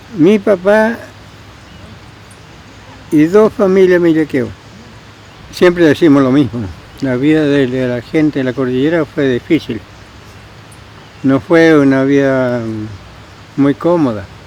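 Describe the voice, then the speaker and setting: A man with a fairly high voice talks at a fairly slow pace, leaving long, frequent pauses. His intonation is lively, and there is noticeable background noise. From Argentina, Patagonia (Nahuel Huapi area). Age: 80s+. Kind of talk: interview answer.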